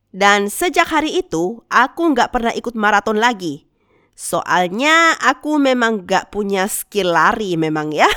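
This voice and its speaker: Slow-paced and fairly high-pitched, a woman speaks in a bright, sharp tone with very wide pitch swings. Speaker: animation storyteller YouTuber. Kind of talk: storytime narration.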